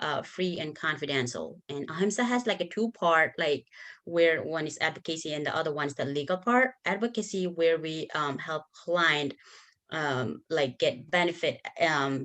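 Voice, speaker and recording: A woman with a Nepali accent, a very deep, low pitch, lively intonation and a moderate pace. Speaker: bilingual advocate. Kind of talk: conference workshop presentation.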